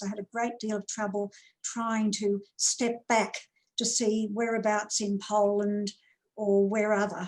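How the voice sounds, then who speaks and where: A woman's fairly high, monotone voice with flat intonation, at a fairly slow pace. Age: 70s. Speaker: society member telling family story. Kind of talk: storytelling.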